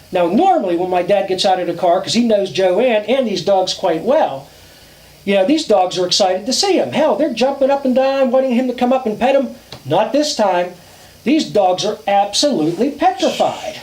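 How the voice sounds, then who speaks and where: Amid noticeable background noise, a high-pitched man talks at a moderate pace with lively intonation. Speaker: storyteller. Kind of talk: campfire ghost story telling. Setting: outdoors.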